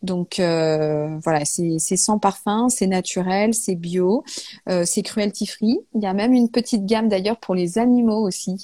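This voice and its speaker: Very slow speech in a dark, mellow tone carries ordinary pitch variation. The recording is very clean, dry and close, with no echo and a silent background. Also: woman, medium pitch for a woman. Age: 30s. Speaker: natural perfume brand founder. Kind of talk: interview. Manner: hesitant, many fillers.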